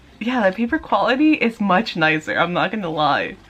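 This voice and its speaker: Over music in the background, a woman talks at a fairly slow pace. Her pitch is medium, with very wide swings. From Mexico, Tijuana. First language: Spanish. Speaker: manga vlogger. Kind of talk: casual vlog haul. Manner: animated.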